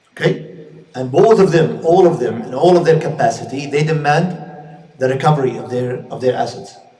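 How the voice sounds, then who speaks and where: Speaking with a Saudi accent, a man has a fairly high pitch and ordinary pitch variation. He keeps a moderate pace, with audible room echo. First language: Arabic. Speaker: Islamic scholar and teacher. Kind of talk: lecture. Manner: halting, with frequent repetitions and fillers.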